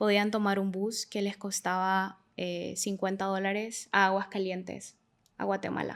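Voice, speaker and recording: On a very clean recording with a silent background, a woman with a medium-pitched voice talks at a fairly slow pace. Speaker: migration researcher. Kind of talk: interview. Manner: hesitant, many fillers.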